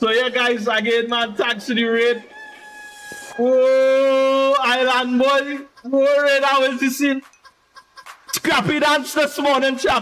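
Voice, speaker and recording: Pausing long and often, a man with an extremely high pitch talks at a very slow pace with very even loudness. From Trinidad and Tobago. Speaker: game streamer. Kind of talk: live gaming stream chat. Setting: live stream. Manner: animated.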